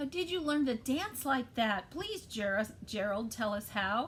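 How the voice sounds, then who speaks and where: A woman puts on a high-pitched character voice. She goes fairly slowly, with clear background noise behind her. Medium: read story.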